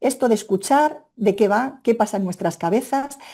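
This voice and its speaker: A woman's fairly high, dark and mellow voice at a fairly quick pace, with ordinary pitch variation. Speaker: Spanish language teacher trainer. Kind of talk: webinar presentation. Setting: online webinar. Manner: fast; animated.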